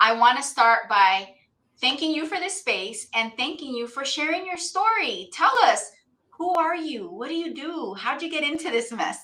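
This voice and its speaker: A woman's high-pitched, raised and projected voice with very wide pitch swings at a moderate pace. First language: not English. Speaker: podcast host. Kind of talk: podcast interview. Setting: live video stream.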